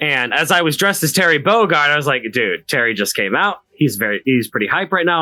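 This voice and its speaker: On a very clean recording with a silent background, a man speaks at a very fast pace with a bright, sharp tone, medium pitch and lively intonation. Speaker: podcast co-host. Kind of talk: casual chat. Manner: loud; animated.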